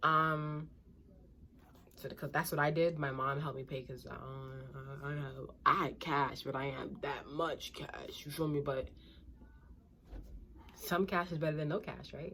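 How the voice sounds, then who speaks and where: With a New York accent, a woman with a very deep, low pitch and a bright, sharp tone speaks at a moderate pace, keeping a fairly even intonation and taking long, frequent pauses. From Brooklyn, New York. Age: 20s. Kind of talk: casual advice talk to camera.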